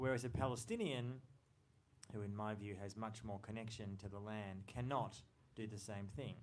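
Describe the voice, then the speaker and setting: Audible room echo surrounds a man speaking with an Australian accent and fairly even intonation. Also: fairly low pitch for a man, moderate pace. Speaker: journalist and author. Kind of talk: book talk.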